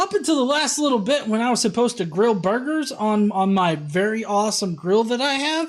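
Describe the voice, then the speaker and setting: A slight Southern US accent comes through at a moderate pace. The tone is animated. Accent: slight Southern twang. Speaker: atheist commentary streamer. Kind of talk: live stream reaction commentary. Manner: casual, animated.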